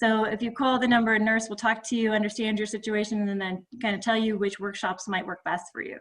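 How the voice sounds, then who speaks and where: A woman speaks in a fairly high voice. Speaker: health resource presenter. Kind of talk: presentation. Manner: fast.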